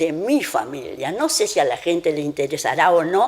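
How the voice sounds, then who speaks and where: Her pitch swinging very widely, a woman speaks at a moderate pace. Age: 80s+. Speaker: elderly local resident sharing family history. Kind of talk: interview, personal recollection. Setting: at her home. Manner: conversational, with hesitations.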